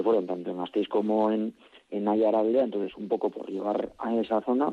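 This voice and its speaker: In an unremarkable speaking voice, a man talks at a moderate pace with fairly low pitch and fairly even intonation. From Álava, Basque Country. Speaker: bertsolari association representative. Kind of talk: radio interview.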